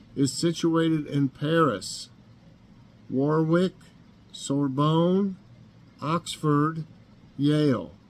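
A man with an American accent at a very slow pace. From Northeast Tennessee. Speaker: YouTube vlogger. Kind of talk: casual morning chat vlog. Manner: halting, many fillers. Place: kitchen. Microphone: webcam.

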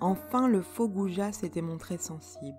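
Music plays in the background as the speaker talks in a calm tone at a very slow pace. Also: woman. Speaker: poet. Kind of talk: poetry reading.

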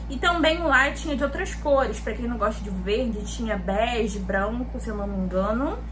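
With noticeable background noise behind her, a woman talks at a moderate pace with hardly any pauses. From Rio de Janeiro state, Brazil (Duque de Caxias). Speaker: lifestyle YouTuber. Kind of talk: casual shopping haul vlog. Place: home room. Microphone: phone near.

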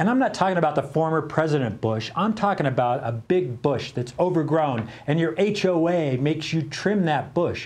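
Here a man speaks at a moderate pace. His intonation is lively. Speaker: talk show host. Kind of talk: comedic talk-show banter. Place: studio. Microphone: lapel.

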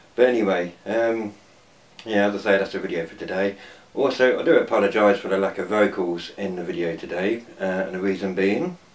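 With an ordinary speaking voice, a man speaks fairly quickly in a fairly low pitch, using ordinary pitch variation. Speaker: urban explorer vlogger. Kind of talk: casual vlog chat. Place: home room. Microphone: phone near.

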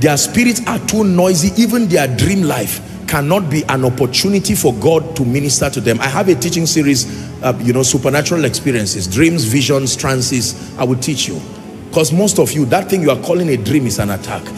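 A man is talking at a fairly quick pace. Behind him, music is clearly audible. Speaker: preacher. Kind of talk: sermon. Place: hall. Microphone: handheld.

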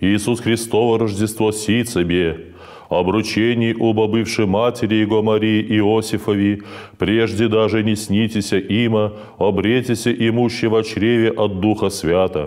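A man speaks at a fairly low pitch with monotone, flat intonation. His loudness stays very even against a quiet background. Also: fairly slow pace. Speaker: priest. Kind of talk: liturgical reading aloud. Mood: calm, solemn, even. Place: church.

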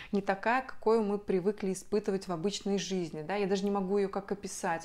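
A woman of medium pitch at a fairly quick pace. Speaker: video blogger. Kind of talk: personal story to camera. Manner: chatty. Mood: emotional personal birth story. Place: home room.

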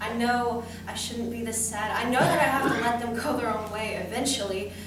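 A woman speaks at a moderate pace with audible room echo. Noticeable background noise is present. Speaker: student actor. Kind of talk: dramatic monologue. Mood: sad, emotional. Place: stage.

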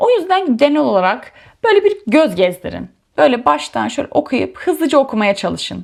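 At a moderate pace, the talking flows on with hardly any pauses. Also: woman. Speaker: YouTuber sharing exam prep tips. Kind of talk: tutorial. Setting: home study room.

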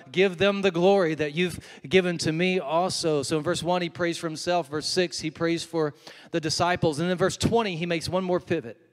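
The speaker talks at a fairly quick pace with fairly even intonation. The background is quiet. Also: man, high pitch for a man. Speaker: preacher. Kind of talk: sermon. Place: stage. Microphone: handheld.

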